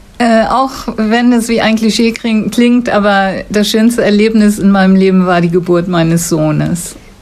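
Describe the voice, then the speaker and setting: A woman at medium pitch and a fairly slow pace, with ordinary pitch variation, very even loudness and hardly any pauses, amid audible room echo and noticeable background noise. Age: 70s. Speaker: retired school staff, former basketball player. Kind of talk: interview answers. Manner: articulate, fluent.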